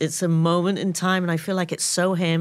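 A woman talks in a London accent. Her pitch is fairly low and her pace moderate. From London, England. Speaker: photographer. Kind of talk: casual chat. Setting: studio.

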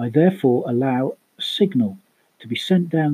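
Somewhat breathy, a man with a British accent speaks at a moderate pace with lively intonation. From UK. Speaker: podcast host, tabletop role-playing gamer. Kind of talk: scripted podcast monologue.

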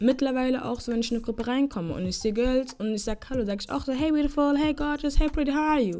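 With lively intonation and a high pitch, a woman talks at a very fast pace. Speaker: podcast host. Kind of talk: casual monologue. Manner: casual, code-switching German and English.

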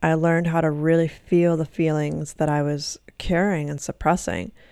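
A woman speaks at a fairly slow pace in an ordinary speaking voice, fairly low-pitched, with fairly even intonation on a very clean recording against a silent background. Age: 20s. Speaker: hypnotherapist and podcast host. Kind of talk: solo podcast monologue; guided breathing exercise.

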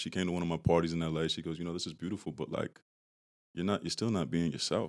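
Speaking at a very fast pace, a man with an American accent has a very deep, low pitch. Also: very clean recording, silent background. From Massachusetts, Brockton. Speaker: tech founder and hip-hop artist. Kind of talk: podcast interview. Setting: studio.

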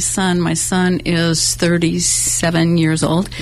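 A woman's fairly low-pitched voice against noticeable background noise. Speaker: singer-songwriter. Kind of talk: casual interview. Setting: studio.

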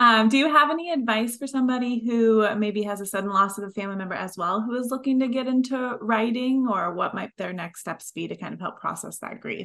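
A woman with a plain, everyday voice, fairly high pitch, ordinary pitch variation, a fairly quick pace with hardly any pauses, and big swings in loudness. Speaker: podcast co-host. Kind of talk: casual interview chat.

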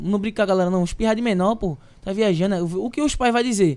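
A man talks at a very fast pace in an animated tone, his pitch high. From Recife, Pernambuco, Brazil. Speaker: singer and influencer. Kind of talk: casual chat. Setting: live podcast studio.

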